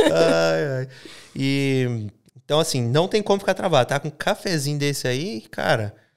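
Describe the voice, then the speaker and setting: A man speaks with a non-native accent at a fairly high pitch. His pitch swings very widely. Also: moderate pace. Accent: foreign, makes errors in Portuguese. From Minas Gerais roots, raised abroad. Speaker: podcast host. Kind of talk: casual interview. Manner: high energy.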